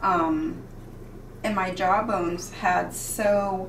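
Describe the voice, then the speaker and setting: Against light background noise and audible room echo, a woman talks at a medium pitch. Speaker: cooking video creator. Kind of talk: cooking tutorial. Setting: home kitchen. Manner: animated. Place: kitchen.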